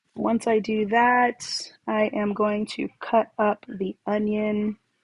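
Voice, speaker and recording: At a very slow pace, a woman speaks in a somewhat breathy, fairly high voice with monotone, flat intonation. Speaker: home cook. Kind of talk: cooking tutorial voiceover.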